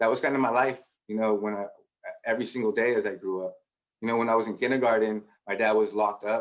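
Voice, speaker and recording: A man with a Spanish accent speaks very fast in a fairly low, monotone voice with flat intonation. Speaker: education professor. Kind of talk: conference talk. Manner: conversational, many fillers.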